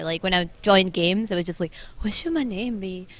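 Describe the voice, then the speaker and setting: A woman's medium-pitched voice with a Scottish accent, very fast in pace and fairly even in intonation. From Scotland. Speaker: esports team manager. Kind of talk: casual interview. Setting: convention hall.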